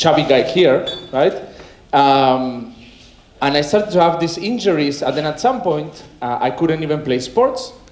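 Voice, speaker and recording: With a Spanish accent, a man at a fairly high pitch is heard amid noticeable background noise and audible room echo. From Argentina. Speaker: wellness coach. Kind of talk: conference talk. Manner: casual, energetic.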